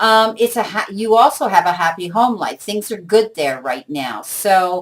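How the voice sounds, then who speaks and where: Speaking at a moderate pace, a woman with a fairly high pitch is heard in a very clean recording with a silent background. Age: 60s. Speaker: tarot reader. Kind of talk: tarot reading monologue. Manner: hesitant, many fillers.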